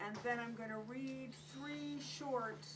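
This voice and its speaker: A woman with an American accent speaks at a fairly slow pace and medium pitch with very wide pitch swings, amid noticeable background noise and audible room echo. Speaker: author. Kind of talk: book talk. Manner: quiet.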